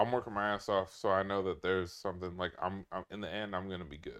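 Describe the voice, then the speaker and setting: The delivery is fairly quick with fairly even intonation. The background stays quiet. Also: man. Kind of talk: casual chat. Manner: casual, profane.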